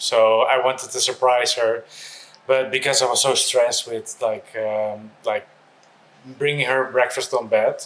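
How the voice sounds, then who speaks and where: A man speaks at a fairly slow pace, and noticeable background noise can be heard. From Netherlands. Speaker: expat real estate entrepreneur. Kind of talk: interview. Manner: hesitant, filler-heavy.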